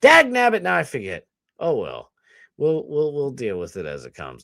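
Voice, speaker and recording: This man speaks with a Boston accent. The recording is very clean and the background silent. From US Northeast. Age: 30s. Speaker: streamer and podcast host. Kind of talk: casual livestream chat. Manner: rambling, scattered.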